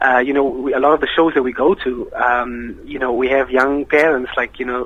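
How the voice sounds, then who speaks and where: The speaker has a South African accent and a monotone, flat intonation. Speech moves at a fairly quick pace with hardly any pauses. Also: man. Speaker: nasheed singer. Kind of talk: radio interview.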